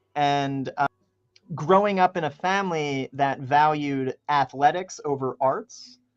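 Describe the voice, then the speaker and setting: A man with a slight Philadelphia accent, ordinary pitch variation, and a dry, close sound with no echo. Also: fairly high pitch for a man, fairly slow pace. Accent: Philadelphia accent, mild version. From Philadelphia, US East Coast. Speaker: musician. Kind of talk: radio interview. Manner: loud, projecting.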